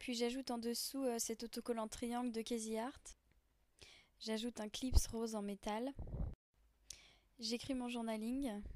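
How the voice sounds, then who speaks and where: A woman's fairly high voice, fairly slow and monotone, broken by long, frequent pauses. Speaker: art journaling crafter. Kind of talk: craft tutorial voice-over. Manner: hesitant, many fillers.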